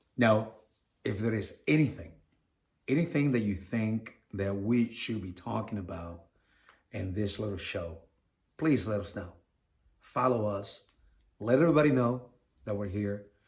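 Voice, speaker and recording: Long, frequent pauses mark this man's fairly slow, somewhat breathy speech in a non-native accent. His pitch is fairly low, with ordinary variation. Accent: foreign. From Venezuela. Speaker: podcast co-host. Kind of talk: casual podcast chat.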